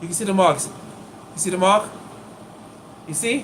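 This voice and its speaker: Amid noticeable background noise and audible room echo, a man with a high voice speaks in an animated tone with ordinary pitch variation. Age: 50s. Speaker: acupuncturist. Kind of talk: live stream demonstration. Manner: casual, animated.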